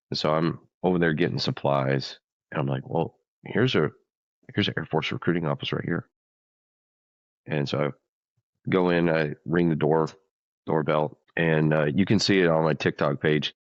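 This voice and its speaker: Speaking with an American accent at a moderate pace, a man uses a very deep, low pitch and ordinary pitch variation, leaving long, frequent pauses in a dry, close sound with no echo. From US South, rural Louisiana. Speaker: military vocalist. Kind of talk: interview storytelling. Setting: studio.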